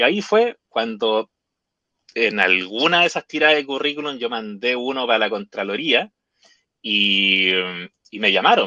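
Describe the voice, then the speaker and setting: A man speaks at a medium pitch with lively intonation and big swings in loudness. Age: 40s. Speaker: lawyer turned nomad traveler. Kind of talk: interview conversation. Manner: hesitant, many fillers.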